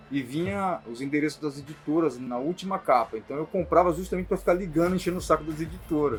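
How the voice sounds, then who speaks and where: Over background music, a man speaks at a fairly quick pace with a fairly high pitch. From Brazil, São Paulo. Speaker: comic book illustrator. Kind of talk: interview. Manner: casual, hesitant with restarts.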